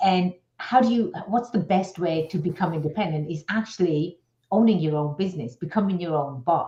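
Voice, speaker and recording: A woman speaks in a fairly low pitch with an American accent. Her pace is moderate. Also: ordinary pitch variation. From outside the US. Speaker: business attorney. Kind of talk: radio interview. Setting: radio show.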